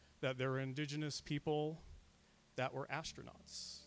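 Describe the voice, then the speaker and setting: A man with an American accent has an unremarkable speaking voice. His pitch is fairly high and his pace moderate. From Arizona, US Southwest (O'odham Nation). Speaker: guest lecturer, scientific illustrator. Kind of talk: public lecture. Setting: planetarium with live audience. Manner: casual, filler-heavy (frequent uh).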